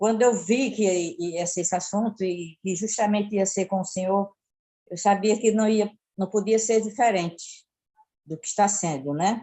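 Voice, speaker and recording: A woman's normal speaking voice, medium in pitch, with ordinary pitch variation. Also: moderate pace. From Pernambuco, Brazil. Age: 60s. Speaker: caller. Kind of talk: casual chat.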